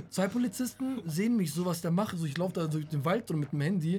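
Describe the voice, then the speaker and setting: A man speaks very fast in a high voice with ordinary pitch variation while music plays in the background. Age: 20s. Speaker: podcast co-host. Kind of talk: casual chat.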